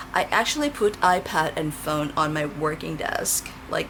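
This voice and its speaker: A woman talks at a fairly slow pace while noticeable noise sounds behind her. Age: 40s. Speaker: tarot reader. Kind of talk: pick-a-card tarot reading. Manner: casual and chatty.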